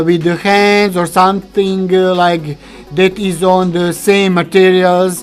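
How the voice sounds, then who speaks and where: Each word comes at a very slow pace. A non-native accent is heard. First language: not English. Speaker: video studio hobbyist / youtuber. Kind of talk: tutorial. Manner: halting, many fillers.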